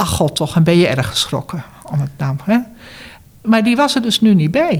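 The pace is moderate. This is a normal speaking voice. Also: woman. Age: 60s. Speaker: retired cancer support worker and former patient. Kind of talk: interview.

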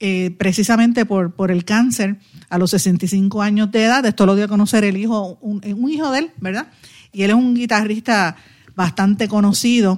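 In a very clean recording with a silent background, a woman with a dark, mellow tone talks at medium pitch and a moderate pace, her pitch varying in an ordinary way. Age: 50s. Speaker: radio host and political commentator. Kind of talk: news commentary; casual chat.

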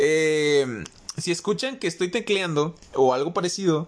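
A man speaks at a fairly high pitch. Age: young. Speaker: podcaster, student. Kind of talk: casual monologue. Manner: informal, with frequent hesitations and laughter; voice occasionally cracks.

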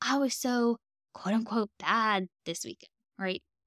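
A woman with a Southern US accent, bright and sharp in tone, with fairly even intonation in a dry, close sound with no echo on a very clean recording with a silent background. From US South. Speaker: dietitian and podcast host. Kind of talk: solo podcast monologue.

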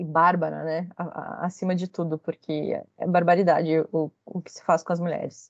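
A woman at a moderate pace. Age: 30s. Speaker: researcher in communication. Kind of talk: interview.

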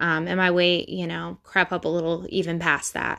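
Over a silent background on a very clean recording, a woman speaks with a Midwestern US accent. Her voice is fairly low, with a bright, sharp tone and fairly even intonation. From Ohio. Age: 20s. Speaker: podcast host. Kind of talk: personal monologue. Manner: rambling with fillers.

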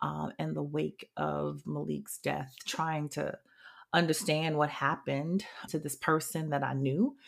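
Recorded very cleanly against a silent background, a woman with a New England accent speaks at a fairly slow pace. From New Haven, Connecticut. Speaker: podcast host and social justice strategist. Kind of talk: solo podcast monologue. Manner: hesitant, many fillers.

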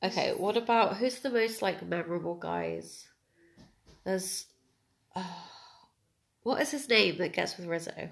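With vocal fry and lively intonation, a woman speaks with long, frequent pauses. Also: medium pitch for a woman, fairly slow pace. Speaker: podcast host. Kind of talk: casual chat.

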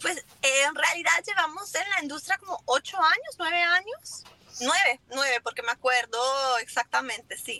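Her raised, projected voice sits at an extremely high pitch with very wide pitch swings, as a woman speaks at a fairly slow pace in a dry, close sound with no echo. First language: English (speaking Spanish). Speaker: lumber importer, business owner. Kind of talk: casual interview.

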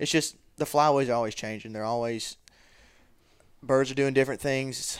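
With a Southern US accent, a man talks at a moderate pace in a medium pitch with ordinary pitch variation. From Mississippi (Columbus). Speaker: college student and duck hunter. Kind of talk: casual chat.

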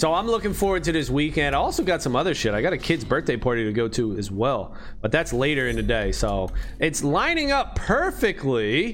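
A loud, animated man at a fairly quick pace. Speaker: gaming streamer. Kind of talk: casual livestream chat while playing a game. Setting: livestream, screen-share gameplay. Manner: high-energy, animated, loud; casual, slangy, profane.

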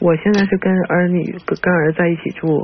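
Over noticeable background noise, a woman talks at a fairly low pitch with fairly even intonation. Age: 60s. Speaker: caller. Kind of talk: phone call asking for advice. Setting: phone call. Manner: halting.

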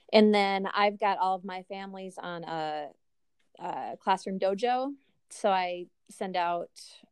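Her medium-pitched voice moves at a fairly slow pace as this woman speaks with fairly even intonation. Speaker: reading interventionist teacher and doctoral student. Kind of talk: casual interview chat. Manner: calm.

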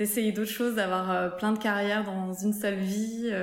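Amid audible room echo and noticeable background noise, a woman talks at a medium pitch. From southern France, near Montpellier. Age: 30s. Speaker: entrepreneur, shoe brand founder. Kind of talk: interview testimony.

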